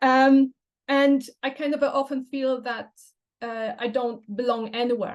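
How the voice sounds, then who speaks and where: A high-pitched woman in a Polish accent, with fairly even intonation. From Poland. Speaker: language teacher and photographer. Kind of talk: presentation. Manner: hesitant, many fillers.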